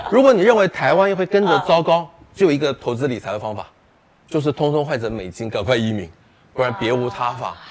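A man talks at a very fast pace, his fairly high voice making very wide pitch swings. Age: 50s. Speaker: personal finance author. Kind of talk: casual chat.

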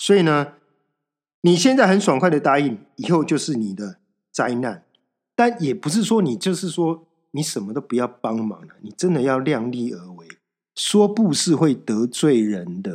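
In a very clean recording with a silent background, a man with a fairly high pitch speaks at a moderate pace, with very wide pitch swings and big swings in loudness. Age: 40s. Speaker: podcast host. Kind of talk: solo self-help monologue. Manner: casual, conversational with many fillers.

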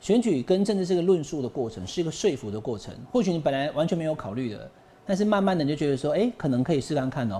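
Very fast speech in a dark, mellow tone moves through very wide pitch swings. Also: man, fairly high pitch for a man. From Taiwan. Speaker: talk show host, political commentator. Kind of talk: political interview, casual chat. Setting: studio.

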